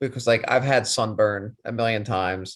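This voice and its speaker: An unremarkable speaking voice at a moderate pace with ordinary pitch variation, in a very clean recording with a silent background. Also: man. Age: 30s. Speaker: podcast co-host. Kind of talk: casual chat.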